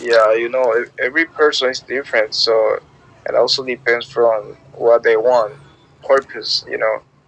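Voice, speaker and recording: Background noise is clearly noticeable here. The male speaker holds a moderate pace. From Panama. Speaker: language app user chatting. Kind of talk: casual chat.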